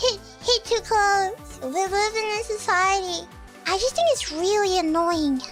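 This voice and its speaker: Music plays in the background while a woman speaks at an extremely high pitch. Her pace is fairly slow, her loudness very even, and her pitch variation ordinary. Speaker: VTuber. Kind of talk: casual livestream talk.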